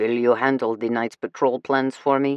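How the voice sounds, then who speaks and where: This is a put-on character voice at a moderate pace. The intonation is monotone and flat. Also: man. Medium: read story. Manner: gruff, curt.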